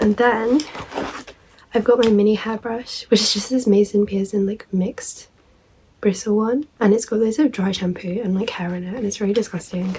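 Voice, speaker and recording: A woman's fairly high voice at a moderate pace, with fairly even intonation and noticeable background noise. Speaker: student vlogger. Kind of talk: casual show-and-tell vlog. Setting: at home.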